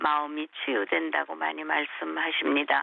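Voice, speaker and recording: Very slowly, a woman speaks in a very deep, low pitch. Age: 70s. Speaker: missionary. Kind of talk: interview.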